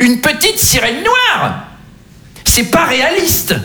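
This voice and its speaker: This is a put-on character voice with a high pitch. The pitch swings very widely. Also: moderate pace. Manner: mocking, indignant.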